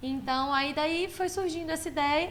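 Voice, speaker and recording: Audible room echo surrounds a woman whose pitch varies in an ordinary way. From Belo Horizonte, Brazil (born in Maranhão, moved at 10). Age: 30s. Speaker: furniture store owner. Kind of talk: podcast interview.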